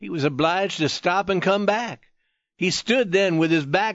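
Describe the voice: Over a quiet background, the text is given as plain reading aloud with ordinary pitch variation.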